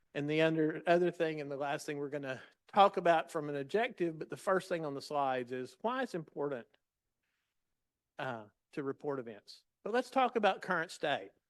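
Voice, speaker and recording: At a fairly quick pace, a man with a fairly high pitch speaks with lively intonation. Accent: Southern US. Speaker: patient safety leader. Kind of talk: lecture. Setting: stage with audience.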